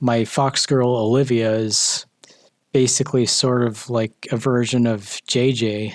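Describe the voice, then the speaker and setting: A man speaks at a fairly slow pace with monotone, flat intonation. His loudness stays very even throughout. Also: medium pitch for a man. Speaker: art youtuber. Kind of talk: casual monologue while drawing.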